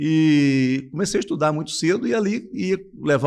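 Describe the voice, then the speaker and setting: Against a quiet background, a man speaks at a moderate pace. His pitch swings very widely. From Brazil, Espírito Santo (Cachoeiro de Itapemirim countryside). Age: 50s. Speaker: businessman. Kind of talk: interview.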